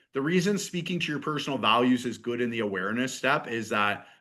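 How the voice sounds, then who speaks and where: This is a man with an ordinary speaking voice. His pitch is medium and his intonation lively. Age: 40s. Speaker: fitness business coach. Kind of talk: online workshop.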